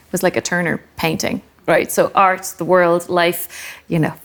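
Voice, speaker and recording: Speaking in an Irish accent, a woman talks at a fairly quick pace. Her medium pitch stays monotone and flat. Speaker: art critic and writer. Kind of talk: panel discussion.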